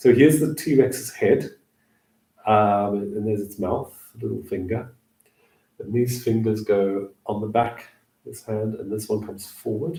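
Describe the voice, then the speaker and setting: A man speaks at a fairly slow pace with long, frequent pauses and ordinary pitch variation. His voice is somewhat breathy and fairly low, with a dark, mellow tone. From Southern Africa (Namibia, South Africa); born northeast England. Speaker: hand shadow performer. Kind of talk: casual livestream chat with demonstrations.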